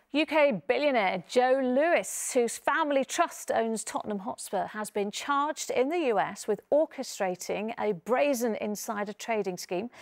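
Against a quiet background, the speaker uses lively intonation at a fairly slow pace. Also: woman, high pitch for a woman. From England. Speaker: news presenter. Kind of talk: news reading. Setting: studio. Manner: formal. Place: studio.

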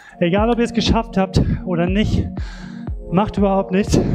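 A man's high-pitched voice comes through with clear music in the background. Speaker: fitness instructor. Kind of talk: workout instruction. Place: gym.

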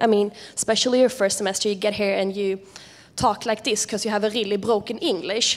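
A woman speaks in a Swedish accent with monotone, flat intonation. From Sweden. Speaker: international student representative; panelist. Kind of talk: panel presentation. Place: hall. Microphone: handheld.

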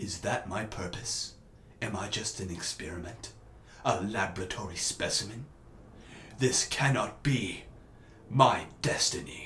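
A man's put-on character voice, menacing in tone and fairly low in pitch, with long, frequent pauses over clear background noise. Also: moderate pace. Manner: slow, grave, menacing.

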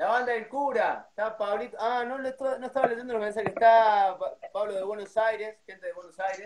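A man talks at a moderate pace and a high pitch, with fairly even intonation. Noticeable background noise runs underneath. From Córdoba, Argentina. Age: 30s. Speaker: cuarteto band announcer and MC; cuarteto band announcer, MC. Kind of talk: casual interview on a livestream. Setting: video call livestream. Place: home room. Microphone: too quiet, no headphones; phone near.

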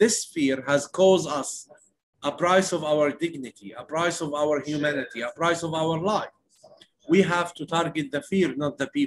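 Someone with an Arabic accent speaks at a moderate pace with ordinary pitch variation over light background noise. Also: man, fairly high pitch for a man. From West Bank, Palestine. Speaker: nonviolence activist. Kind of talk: interview. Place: home room. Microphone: earbuds.

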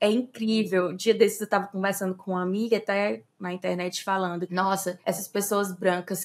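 At a moderate pace, the speaker talks in a normal speaking voice. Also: woman. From Fortaleza, Brazil. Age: 30s. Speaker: anthropologist and anti-racism activist. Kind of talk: interview.

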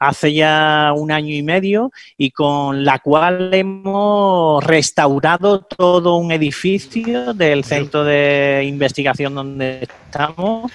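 A man speaks with ordinary pitch variation, the sound dry with no echo. Faint music plays in the background. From Andalusia, Spain. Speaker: veterinarian. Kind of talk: interview answer. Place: home room. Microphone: headset.

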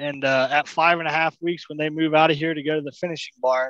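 A man at a fast pace, fairly high in pitch and fairly bright in tone, with fairly even intonation

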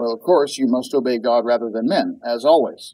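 A man talks with a dark, mellow tone. He speaks at a moderate pace. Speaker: Bible teacher. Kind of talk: lecture. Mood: calm, measured teaching. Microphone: webcam.

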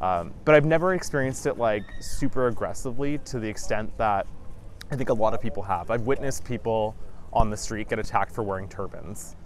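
A speaker with a Western Canadian accent talks at a fairly quick pace with lively intonation. The sound is dry with no echo over light background noise. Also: man. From Vancouver, British Columbia, Canada. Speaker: educator. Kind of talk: interview answer. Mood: calm, reflective. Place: beach. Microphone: lapel.

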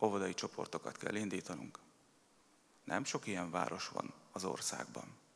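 The voice belongs to a man with a fairly low pitch. His intonation is fairly even. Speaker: mayor giving a speech. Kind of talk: formal public speech. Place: hall. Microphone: podium.

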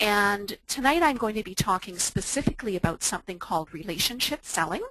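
An unremarkable speaking voice from a woman with fairly high pitch and lively intonation, dry with no echo, over a quiet background. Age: 50s. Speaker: online entrepreneur and fitness instructor. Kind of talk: webinar presentation. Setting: online webinar. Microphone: video call.

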